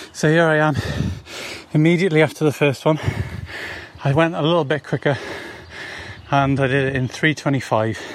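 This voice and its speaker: A man speaks at a fairly quick pace, yet leaves long, frequent pauses. His pitch is fairly high and his intonation fairly even, against noticeable background noise. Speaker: runner. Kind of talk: recorded audio diary. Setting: outdoors.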